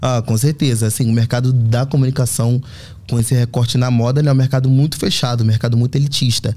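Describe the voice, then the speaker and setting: At a very fast pace, a man speaks at a medium pitch in a somewhat breathy, dark, mellow tone, with fairly even intonation and very even loudness. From Rio de Janeiro, north zone. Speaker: fashion artist and communicator. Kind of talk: interview conversation.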